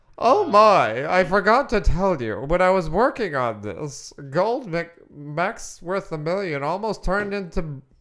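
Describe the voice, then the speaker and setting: The speech moves at a fairly slow pace with hardly any pauses, in a very clean recording with a silent background. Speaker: comedy podcast co-host, improv player. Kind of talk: improvised comedic character bit.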